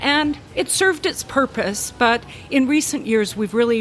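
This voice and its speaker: A woman's pitch swings very widely as she talks at a moderate tempo against noticeable background noise. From western Canada. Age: 60s. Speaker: retired university faculty member. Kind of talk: casual interview chat.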